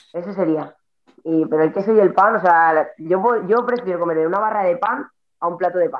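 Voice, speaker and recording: A woman's normal speaking voice at medium pitch, with ordinary pitch variation. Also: fairly quick pace. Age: 30s. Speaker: CrossFit athlete. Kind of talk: casual chat.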